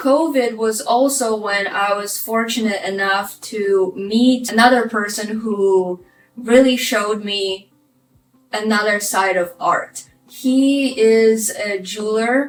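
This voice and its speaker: Music plays behind a woman speaking at a very slow pace. Her fairly high voice shows ordinary pitch variation. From Ukraine. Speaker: vlogger. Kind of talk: personal life story vlog.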